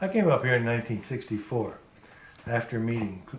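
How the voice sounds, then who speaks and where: A man with a Californian accent, medium pitch, with audible room echo. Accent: American (Californian). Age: 60s. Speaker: retired apparel worker interviewee. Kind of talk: oral history interview.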